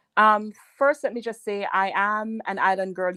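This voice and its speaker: In a Jamaican accent, a woman speaks with a dry, close sound that has no echo. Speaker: political advisor. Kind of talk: radio interview. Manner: halting, many fillers.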